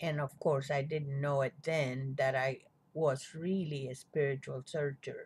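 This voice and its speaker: On a very clean recording with a silent background, a woman speaks very slowly in a somewhat breathy voice. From Cuba. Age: 70s. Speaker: spiritual vlogger. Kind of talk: personal testimony. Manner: reflective, conversational.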